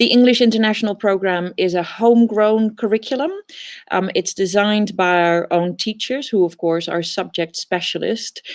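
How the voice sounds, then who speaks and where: A woman speaks with a Dutch accent at a fairly slow pace, her medium pitch showing ordinary variation. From Netherlands. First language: Dutch (speaking French). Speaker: teacher. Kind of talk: presentation. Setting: online fair presentation.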